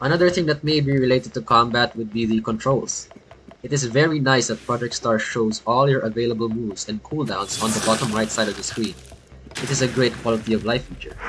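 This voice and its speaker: Music plays in the background as a man speaks at medium pitch and a fairly quick pace. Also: ordinary pitch variation. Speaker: gaming video reviewer. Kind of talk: scripted review narration; casual editor's note. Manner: read from script.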